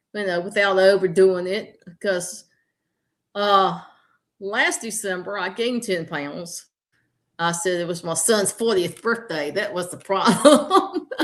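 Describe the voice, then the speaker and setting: A woman with a slight Southern US accent speaks at a fairly slow pace and a medium pitch. Her pitch varies in an ordinary way against a quiet background. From US South, southern Virginia. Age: 60s. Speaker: health coach. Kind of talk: interview. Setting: livestream.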